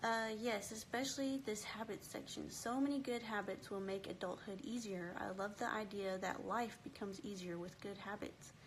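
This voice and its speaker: A somewhat breathy woman's voice at medium pitch, with ordinary pitch variation, a moderate pace and hardly any pauses. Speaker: homeschooling book club host. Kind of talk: live book club discussion. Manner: animated.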